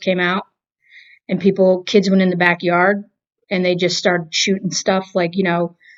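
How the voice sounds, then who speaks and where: In a Boston accent, a woman talks at a moderate pace with a medium pitch. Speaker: movie review show co-host. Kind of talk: casual chat.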